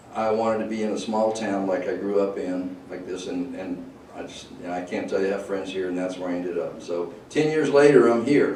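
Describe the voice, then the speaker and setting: In a Texan accent, a man with fairly low pitch talks at a fairly quick pace with hardly any pauses and ordinary pitch variation. Noticeable background noise and audible room echo are present. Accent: Texan American Southern. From US South, South Texas Gulf Coast. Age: 70s. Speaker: retired wildlife biologist, speaker. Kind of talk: public talk. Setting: library meeting room with audience, handheld mic. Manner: conversational, hesitant.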